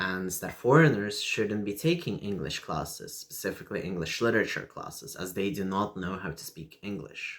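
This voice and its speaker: Speaking in a Russian accent at a moderate pace, the voice carries lively intonation and hardly any pauses. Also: man, fairly low pitch for a man. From Lithuania. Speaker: video blogger. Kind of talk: personal vlog monologue. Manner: halting with many fillers.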